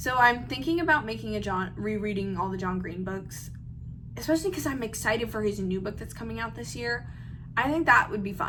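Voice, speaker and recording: With audible room echo, a woman talks at a fairly quick pace. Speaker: aspiring novelist and book content creator. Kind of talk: casual vlog chat. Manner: fast; filler-heavy, lots of 'like'.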